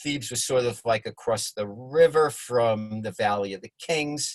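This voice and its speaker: Somewhat breathy, a man with a New York accent talks at a moderate pace and medium pitch, his pitch varying in an ordinary way. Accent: New York accent, noticeable. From New York (Bronx and Long Island). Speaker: congregation member presenting a study session. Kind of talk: informal lecture with slides. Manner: drops middle syllables; hesitant, many fillers and repetitions.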